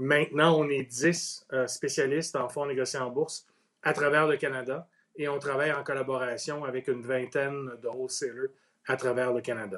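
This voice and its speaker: A man with a Quebec accent talks with fairly even intonation. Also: medium pitch for a man, moderate pace. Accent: Québécois French. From Quebec, Outaouais. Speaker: ETF industry executive. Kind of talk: interview. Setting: Facebook Live video stream.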